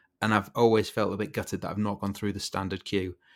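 In a very clean recording with a silent background, a man with a Yorkshire accent speaks at a fairly low pitch. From Yorkshire, northern England. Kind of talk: casual chat.

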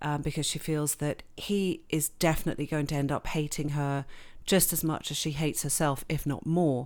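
Very clean, with a silent background, this recording features a woman with a very deep, low pitch. She keeps a moderate pace. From England and Switzerland. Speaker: novelist. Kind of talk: interview.

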